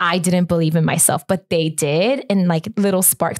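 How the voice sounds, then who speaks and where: A woman with a Korean accent speaks fairly quickly in an animated tone at a medium pitch. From Korea, moved to US at nine. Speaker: children's ministry pastor. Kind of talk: casual interview conversation. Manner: animated, many fillers like 'like' and 'um'.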